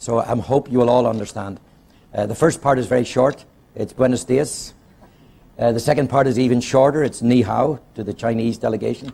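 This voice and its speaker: Speaking at a fairly quick pace with a Northern Irish accent, a man has a dark, mellow tone, a medium pitch and fairly even intonation. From Belfast, Northern Ireland. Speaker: conference speaker, organisation chairman. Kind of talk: formal public address with light humour. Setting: stage, addressing an international audience.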